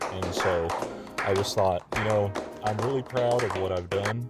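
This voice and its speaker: Music plays in the background as a man speaks with a Southern US accent. His pitch is fairly low and his intonation fairly even. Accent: noticeable Southern US. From Texas. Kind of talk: casual video game tour narration. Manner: hesitant, many filler words.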